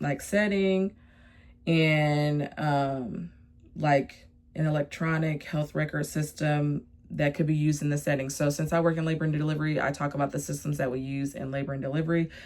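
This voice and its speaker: A woman speaks with a very deep, low pitch and fairly even intonation. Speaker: nursing student and labor and delivery worker. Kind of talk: casual vlog tutorial. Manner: fast; casual with many fillers.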